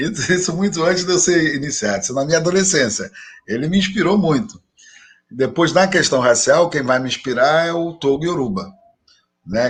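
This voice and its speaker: A man speaks at a fairly quick pace. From Rio de Janeiro, Brazil. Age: 60s. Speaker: religious leader and professor. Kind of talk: interview conversation.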